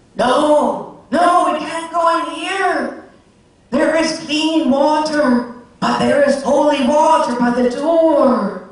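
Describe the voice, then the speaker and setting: In a put-on character voice, the speaker talks at a very slow pace and a high pitch, with strong echo. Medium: read story. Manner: commanding.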